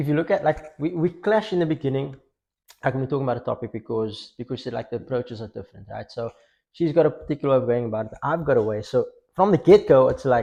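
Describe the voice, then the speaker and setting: A man's fairly high, somewhat breathy voice with a dark, mellow tone, lively intonation and a very fast pace. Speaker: podcast co-host. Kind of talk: casual chat.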